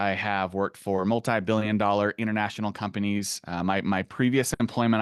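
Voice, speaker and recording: A man talks at a fairly quick pace in a fairly low voice with fairly even intonation. The sound is dry and close with no echo, over a quiet background. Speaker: SEO consultant. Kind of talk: webinar presentation. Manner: fast.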